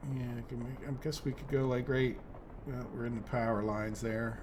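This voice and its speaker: Here is a man with an American accent, medium pitch and ordinary pitch variation. He talks at a moderate pace, and room echo can be heard. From United States. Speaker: gaming YouTuber. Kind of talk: let's play commentary. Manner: casual, thinking aloud.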